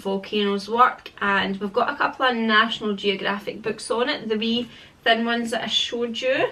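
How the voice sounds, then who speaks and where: Noticeable background noise sits behind a woman with a Scottish accent. She speaks at a moderate pace in a fairly high pitch. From Scotland. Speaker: parenting vlogger. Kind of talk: casual product review vlog. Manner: rambling, chatty.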